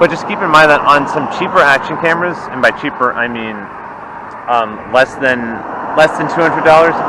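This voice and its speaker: Amid noticeable background noise and audible room echo, a man speaks at a very fast pace with ordinary pitch variation. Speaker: product reviewer. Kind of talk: product test vlog. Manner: loud. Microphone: built-in action camera mic, distorts when loud.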